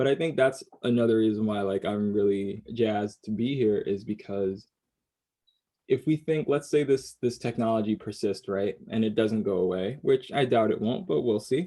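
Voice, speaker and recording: A man with medium pitch and an unremarkable speaking voice, at a moderate pace. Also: ordinary pitch variation. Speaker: multidisciplinary artist. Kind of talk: casual podcast conversation.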